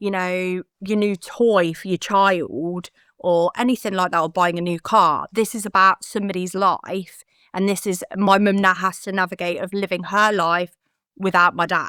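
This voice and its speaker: In a British accent, a woman at medium pitch talks at a moderate pace with monotone, flat intonation and a bright, sharp tone, recorded very cleanly against a silent background with a dry, close sound and no echo. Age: 30s. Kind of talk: interview answer.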